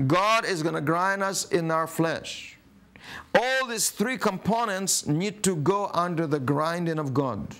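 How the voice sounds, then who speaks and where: A man's bright, sharp tone at a very slow pace. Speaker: preacher. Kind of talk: sermon. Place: studio.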